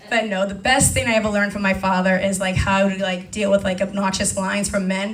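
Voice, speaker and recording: The delivery is very fast and monotone, with flat intonation. Noticeable background noise is present. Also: woman. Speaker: comedian, storyteller, bartender. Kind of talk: stand-up comedy set. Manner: sassy, humorous, conversational.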